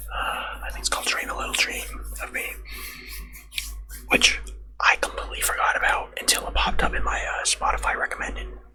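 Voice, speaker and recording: Someone whispers at a very fast pace, broken by long, frequent pauses, with noticeable background noise behind. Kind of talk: casual personal anecdote to camera. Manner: soft-spoken, whispery, rambling with filler words.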